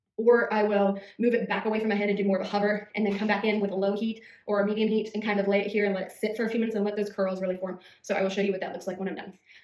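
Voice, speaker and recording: A woman's medium-pitched voice, flat and monotone, at a very fast pace with audible room echo. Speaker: beauty vlogger. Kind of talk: tutorial. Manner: casual, hesitant with fillers.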